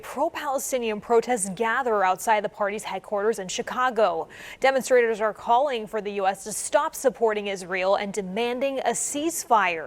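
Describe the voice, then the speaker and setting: With a plain, everyday voice, a woman speaks at a fairly quick pace and fairly high pitch, using lively intonation and hardly any pauses. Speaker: TV news anchor. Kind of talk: TV news anchoring.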